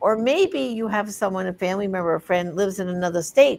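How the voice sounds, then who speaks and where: A very clean recording of a woman against a silent background. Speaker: program host and campaign co-founder. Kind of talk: hosting a panel program. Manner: reading an introduction aloud.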